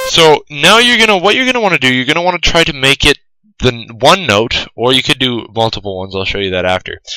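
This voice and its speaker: This man's medium-pitched voice has a bright, sharp tone and very wide pitch swings. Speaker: music production tutorial creator. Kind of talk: tutorial.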